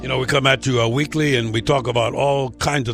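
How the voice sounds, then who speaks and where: This man sounds somewhat breathy, talking at a fairly quick pace with ordinary pitch variation. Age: old. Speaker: radio host. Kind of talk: interview. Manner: halting, many fillers and repetitions.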